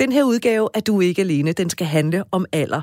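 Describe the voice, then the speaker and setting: A woman with a plain, everyday voice uses lively intonation. The recording is very clean, with a silent background. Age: 40s. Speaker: radio host. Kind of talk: casual chat. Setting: studio.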